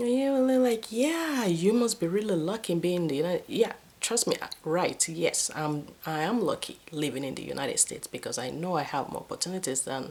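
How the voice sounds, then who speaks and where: A woman with a Nigerian accent speaks at a fairly quick pace and a medium pitch. Her pitch swings very widely, and background noise is noticeable. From Nigeria, Benin City. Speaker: vlogger. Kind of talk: casual storytelling vlog. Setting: at home. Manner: animated.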